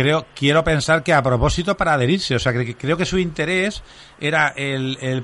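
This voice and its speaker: Here is a man with a plain, everyday voice. His pitch is fairly high with ordinary variation, at a moderate pace. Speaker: radio host. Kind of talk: casual chat. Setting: studio.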